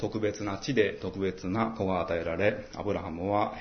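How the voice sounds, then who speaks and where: The speech comes at a fairly slow pace and sounds somewhat breathy. Audible room echo surrounds it. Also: man. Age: 40s. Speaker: pastor. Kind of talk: sermon. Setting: church.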